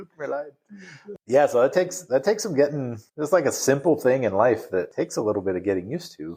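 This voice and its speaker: Talking at a very fast pace with an American accent, a man with a fairly high pitch and a dark, mellow tone uses vocal fry, very wide pitch swings and big swings in loudness. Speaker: podcast co-host. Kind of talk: casual chat.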